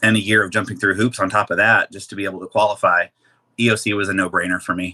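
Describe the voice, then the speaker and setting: A man with a bright, sharp tone speaks at a very fast pace in a monotone, flat intonation. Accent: Midwestern American. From Kansas City, Missouri, USA. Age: 40s. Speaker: weight loss surgery patient. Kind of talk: interview answer.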